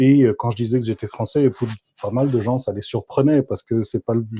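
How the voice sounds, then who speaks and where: A man talks at medium pitch with fairly even intonation and a dark, mellow tone. His voice is somewhat breathy, and the sound is dry and close with no echo. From France, Paris. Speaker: graduate student and body psychotherapist. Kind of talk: podcast interview.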